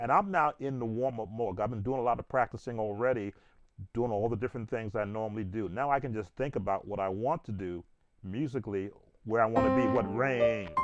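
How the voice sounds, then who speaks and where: In an ordinary speaking voice, a man talks at a fairly quick pace with medium pitch and ordinary pitch variation. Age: 60s. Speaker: gospel piano teacher and church musician. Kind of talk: informal tutorial chat. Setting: livestream while playing piano.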